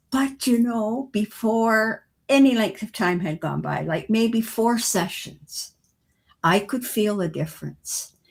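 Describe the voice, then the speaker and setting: A very slow, somewhat breathy woman's voice, fairly high in pitch with ordinary variation, on a very clean recording with a silent background. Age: 80s+. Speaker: retired educator and author. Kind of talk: podcast interview answer.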